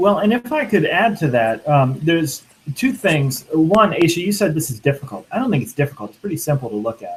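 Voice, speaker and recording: Amid noticeable background noise, a man talks at a fairly quick pace and fairly high pitch, with very wide pitch swings and big swings in loudness. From Louisiana. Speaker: minister. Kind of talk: panel discussion.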